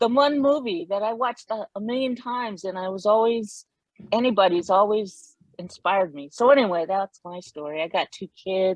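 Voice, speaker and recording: Pitch variation is ordinary and the pace moderate in this voice with an American accent. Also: woman. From US West Coast, San Diego. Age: 60s. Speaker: panelist. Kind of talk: panel discussion.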